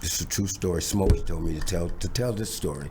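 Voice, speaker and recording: A man with an American accent at a fairly quick pace, audible room echo around him. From Los Angeles (South Central), US. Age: 70s. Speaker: drummer. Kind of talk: interview storytelling. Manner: animated, repetitive fillers.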